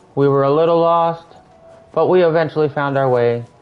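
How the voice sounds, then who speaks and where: A man's fairly quick, fairly even-toned speech over music in the background. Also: very even loudness. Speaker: gaming streamer. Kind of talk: live gameplay commentary.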